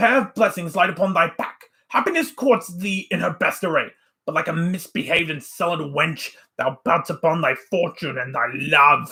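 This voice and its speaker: A man puts on a character voice, pitched high. His intonation is lively. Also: moderate pace. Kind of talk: Shakespearean declamation. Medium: read story. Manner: lecturing, forceful.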